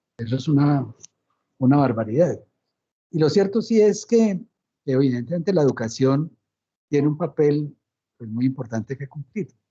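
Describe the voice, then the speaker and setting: A man with a fairly high voice speaks at a moderate pace, his dark, mellow tone somewhat breathy, his intonation lively and broken by long, frequent pauses. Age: 60s. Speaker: lecturer on peace and truth commission. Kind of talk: Q&A response in online lecture. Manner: halting.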